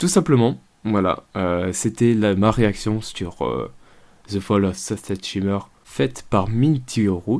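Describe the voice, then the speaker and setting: In a very clean recording with a silent background, a man with a fairly low pitch speaks at a very slow pace with lively intonation. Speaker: YouTube reactor. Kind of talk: video reaction commentary. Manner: slow, calm; halting, many fillers.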